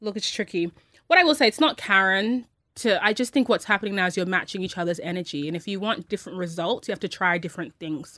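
A very fast woman's voice at medium pitch, bright and sharp in tone, with ordinary pitch variation on a very clean recording with a silent background. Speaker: radio podcast co-host. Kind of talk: casual chat. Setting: studio. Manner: sounds like smiling even when serious.

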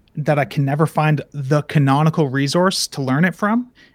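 At a moderate pace, a man with a fairly high pitch talks in an unremarkable speaking voice. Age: 20s. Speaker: software developer. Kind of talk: interview.

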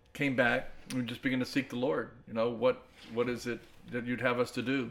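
A man with an American accent and a plain, everyday voice, medium in pitch, at a moderate pace. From Tampa Bay, Florida. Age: 60s. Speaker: pastor and ministry leader. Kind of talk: casual interview.

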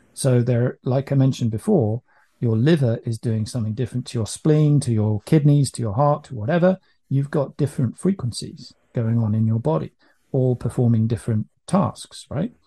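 In a quiet background with a dry, close sound and no echo, a man speaks at a moderate pace and medium pitch, his tone dark and mellow, somewhat breathy, with ordinary pitch variation. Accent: British. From UK. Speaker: business owner selling EMF protection product. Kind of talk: podcast interview. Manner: hesitant, many fillers.

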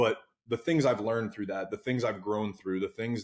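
A man with an American accent. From New Jersey. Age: 30s. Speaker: former pro baseball pitcher and entrepreneur. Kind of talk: casual podcast interview.

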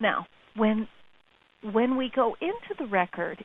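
A woman talks at a fairly high pitch with ordinary pitch variation. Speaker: spiritual author and teacher. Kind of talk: radio interview. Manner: excitable.

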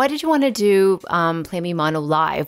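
In a plain, everyday voice, a woman speaks at a moderate pace with a fairly low pitch. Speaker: podcast host. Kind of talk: hosting, interview questions. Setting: live audience.

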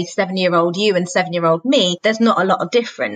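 A woman with a British accent speaks with ordinary pitch variation. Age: 30s. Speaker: children's author and singer-songwriter. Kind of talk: casual chat.

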